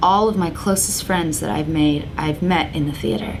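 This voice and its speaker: A woman's voice carries audible room echo. Noticeable background noise sits under it. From England. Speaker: soap opera actress. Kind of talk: interview. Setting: magazine office. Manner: hesitant, many fillers and repeats.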